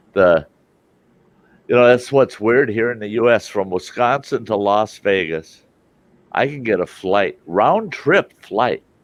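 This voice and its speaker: Speaking with a Midwestern accent, a man uses a medium pitch and ordinary pitch variation. He goes at a fairly slow pace, with long, frequent pauses. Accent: American Midwest. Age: 60s. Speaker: live stream host. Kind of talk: casual chat.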